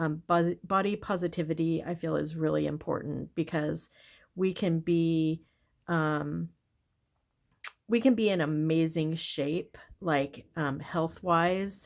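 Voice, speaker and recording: In a very clean recording with a silent background, a woman speaks very slowly in a fairly low voice with fairly even intonation. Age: 60s. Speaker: lifestyle vlogger. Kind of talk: casual journaling vlog. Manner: halting, many fillers.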